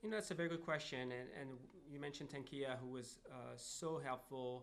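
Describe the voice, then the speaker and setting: A man with a French accent speaks at medium pitch and a fairly quick pace, with ordinary pitch variation and audible room echo. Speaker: job seeker who found work. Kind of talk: interview conversation. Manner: halting, many fillers.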